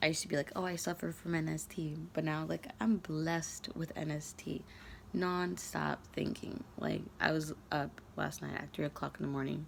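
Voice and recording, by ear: Raspy with vocal fry, a woman talks at a moderate pace in a low voice with little pitch movement.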